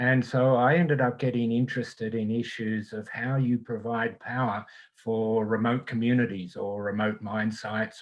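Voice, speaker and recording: In an Australian accent, a man speaks with fairly even intonation. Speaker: engineering professor. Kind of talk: panel discussion.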